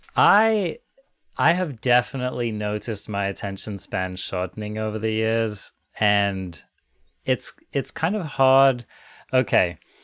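A man with a medium pitch talks at a fairly slow pace, using ordinary pitch variation and long, frequent pauses. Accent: English. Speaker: podcast co-host. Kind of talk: casual conversation.

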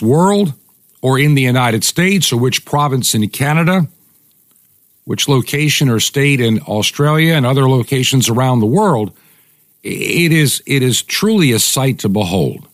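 A man's plain, everyday voice at medium pitch, with lively intonation, very even loudness, a moderate pace and a dry, close sound with no echo. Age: 60s. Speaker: radio host. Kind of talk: opinion monologue.

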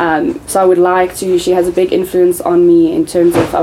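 A woman talks at a moderate pace in a fairly low voice, with noticeable noise in the background. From South Africa, Johannesburg. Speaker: clothing brand owner. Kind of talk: casual chat.

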